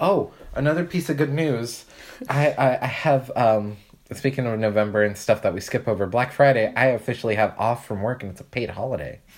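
A man talks in an unremarkable speaking voice, his pitch varying in an ordinary way, at a fairly quick pace. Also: medium pitch for a man. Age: 20s. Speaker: podcast co-host. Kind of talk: casual chat.

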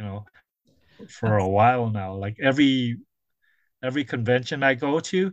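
Against a quiet background, a man speaks at a moderate pace in a medium pitch with ordinary pitch variation. He leaves long, frequent pauses. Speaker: comic book artist. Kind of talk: casual interview. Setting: video call.

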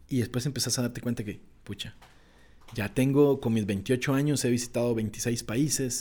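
A man with a Costa Rican accent speaks at a moderate pace and medium pitch in a dark, mellow tone with fairly even intonation. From Costa Rica, Pacific coast (Esparza). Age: 20s. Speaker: nature photographer. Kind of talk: interview conversation.

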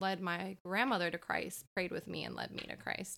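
Speaking at a moderate pace, a woman uses a medium pitch with vocal fry. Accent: American. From US (grew up partly in Florida). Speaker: podcast co-host. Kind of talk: testimony.

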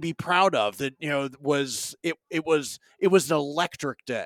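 A man with an unremarkable speaking voice talks fairly slowly at a fairly high pitch. The sound is dry and close, with no echo. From North Carolina, Raleigh. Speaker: football podcaster, guest. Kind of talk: casual chat. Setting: video call.

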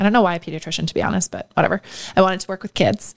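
A woman with a Canadian accent speaks in a normal speaking voice with fairly even intonation. The recording is very clean, with a silent background and a dry, close sound with no echo. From Ontario, Canada (small town north of Toronto). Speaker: marketing executive. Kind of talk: casual interview.

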